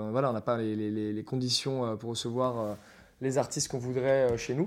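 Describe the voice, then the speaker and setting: The man speaks with a monotone, flat intonation. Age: 20s. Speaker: bar manager. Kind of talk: interview. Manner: halting.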